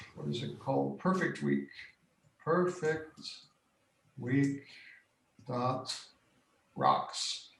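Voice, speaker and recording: With audible room echo, a man talks very slowly at a fairly high pitch. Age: 60s. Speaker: workshop facilitator. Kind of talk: interview on video call. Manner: halting, many fillers.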